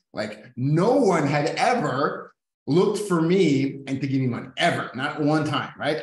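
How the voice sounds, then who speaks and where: A man talks with lively intonation. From Mexico, US border. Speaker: real estate business owner. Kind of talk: casual chat.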